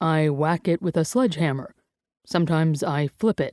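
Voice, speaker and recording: In a gruff, put-on character voice with a fairly high pitch, a man speaks at a moderate pace and very even loudness, on a very clean recording with a silent background and a dry, close sound with no echo. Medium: read story. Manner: gruff, unassuming.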